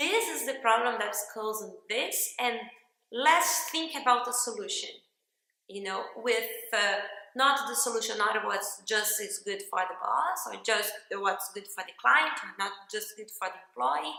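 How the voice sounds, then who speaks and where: A woman with a non-native accent, fairly high pitch and lively intonation, her loudness swinging widely, in a room with audible echo. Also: fairly slow pace. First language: Portuguese. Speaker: workshop participant. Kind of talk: testimonial.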